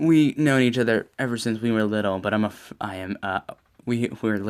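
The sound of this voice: The voice reads in an unforced way, with ordinary pitch variation.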